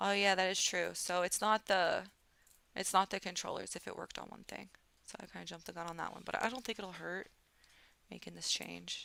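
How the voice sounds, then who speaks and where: A woman with an American accent speaks at a fairly quick pace. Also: big swings in loudness. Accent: southern accent, th-fronting. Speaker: streamer learning game development. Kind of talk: live stream tutorial work, casual.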